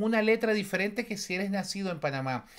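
A man speaks with a high pitch against a quiet background. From Venezuela. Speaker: YouTuber commentator. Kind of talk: video commentary. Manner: repetitive stammering. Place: home room.

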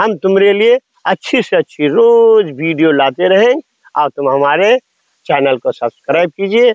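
A very slow pace against a quiet background. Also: man, dry sound with no echo. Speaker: farmer vlogger. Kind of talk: casual vlog chat. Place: farm.

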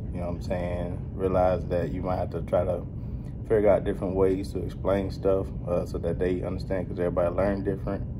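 Against noticeable background noise, a man with a very deep, low pitch speaks at a fairly quick pace with fairly even intonation. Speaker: truck driver trainer. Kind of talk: interview answer. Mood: relaxed, friendly, laughing. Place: hall. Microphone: phone near.

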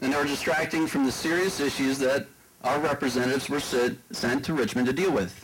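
An ordinary speaking voice, a man talks at a fairly quick pace and fairly high pitch with an American accent and ordinary pitch variation over light background noise. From Prince William County, Virginia. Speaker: political candidate. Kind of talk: debate. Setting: stage with audience. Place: hall. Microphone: handheld.

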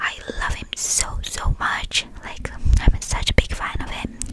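A soft-spoken woman whispering amid noticeable background noise. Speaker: ASMR creator. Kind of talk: soft-spoken ASMR chat with repeated words. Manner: soft close-mic whisper. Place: home room. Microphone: studio mic.

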